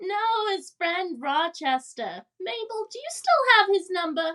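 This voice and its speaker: A woman uses a put-on character voice at an extremely high pitch. Her intonation is lively and her pace fairly slow. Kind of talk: 1940s radio comedy acting. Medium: audio drama.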